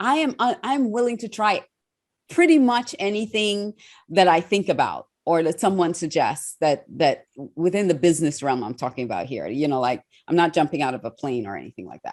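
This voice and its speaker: A woman's fairly low voice, animated in tone, at a fairly quick pace, with very wide pitch swings and big swings in loudness. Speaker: TV host and speaker. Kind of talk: interview.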